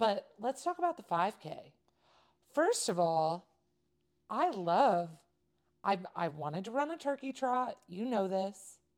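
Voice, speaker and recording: A woman's animated, fairly high voice in a Californian accent, with very wide pitch swings and long, frequent pauses. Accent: Californian American. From Southern California. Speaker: podcast co-host. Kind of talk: casual chat.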